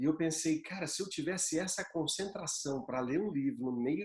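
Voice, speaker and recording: A man is speaking. His pace is fairly quick. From São Paulo interior, Bauru. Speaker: yoga teacher and aromatherapy guest. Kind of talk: casual chat.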